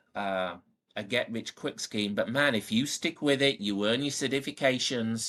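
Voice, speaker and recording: A man speaks with a Northern English accent and fairly even intonation. The background is quiet. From Northern England. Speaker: powersports service manager. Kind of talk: podcast interview answer.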